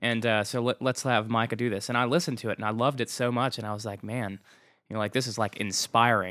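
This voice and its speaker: In a very clean recording with a silent background, a man talks at a very fast pace with a bright, sharp tone and fairly even intonation. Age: 30s. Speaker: rock band singer. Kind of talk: casual interview chat.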